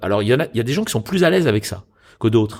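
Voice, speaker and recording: A medium-pitched man with vocal fry is heard on a very clean recording with a silent background. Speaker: stage actor and voice actor. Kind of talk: interview answer about voice acting.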